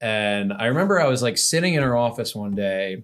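In a very clean recording with a silent background, a man of medium pitch speaks with an American accent at a moderate pace in an ordinary speaking voice. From US, Central New Jersey. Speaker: tech startup founder. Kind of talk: casual interview.

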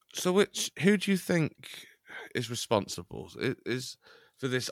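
On a very clean recording with a silent background, a man's bright, sharp voice carries vocal fry and very wide pitch swings, sounding dry and close with no echo. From England, Chester. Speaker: podcast co-host. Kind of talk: casual comedic chat.

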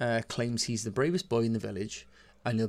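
Reading voice, natural in quality

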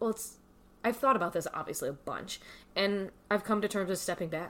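A woman has an unremarkable speaking voice at a medium pitch. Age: 30s. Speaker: podcast guest, friend of the host. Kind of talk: casual chat.

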